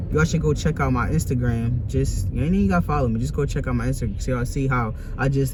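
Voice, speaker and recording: The speech races along at a very fast pace, with audible room echo and noticeable background noise. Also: man. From US Northeast, West Philadelphia. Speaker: vlogger and artist. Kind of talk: casual vlog talk. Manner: animated.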